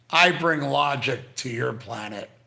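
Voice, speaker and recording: Against audible room echo, a man sounds animated, his tone bright and sharp. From Canada. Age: 60s. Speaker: YouTuber live streaming to chat. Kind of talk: casual live stream chat. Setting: live stream from hospital.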